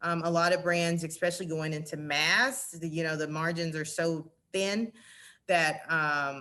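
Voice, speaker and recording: A woman speaks at a fairly slow pace in a fairly low pitch, her bright, sharp tone held to fairly even intonation over a quiet background. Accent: Southern US. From Arkansas. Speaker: retail merchandising director. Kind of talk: presentation and Q&A. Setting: virtual summit.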